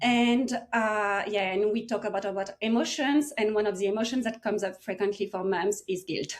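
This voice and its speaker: A woman with a French accent, fairly high-pitched, at a moderate pace with ordinary pitch variation and hardly any pauses. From France, small village near Paris. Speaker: medical researcher and coach for mothers. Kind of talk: podcast interview. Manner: hesitant, with fillers.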